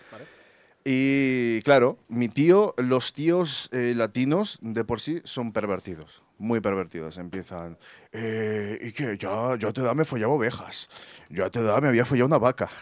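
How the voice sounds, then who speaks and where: An ordinary speaking voice from a man, medium in pitch, at a fairly slow pace with lively intonation, in a very clean recording with a silent background. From Colombia. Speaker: photographer. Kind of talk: storytelling. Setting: stage with audience.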